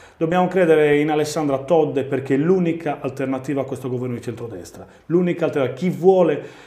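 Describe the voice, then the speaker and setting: Fairly quick speech with fairly even intonation, a dark, mellow tone and audible room echo. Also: man. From Sardinia. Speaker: mayor and regional election candidate; guest. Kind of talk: political interview. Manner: halting, repeats words. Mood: earnest, persuasive. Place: studio. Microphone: lapel.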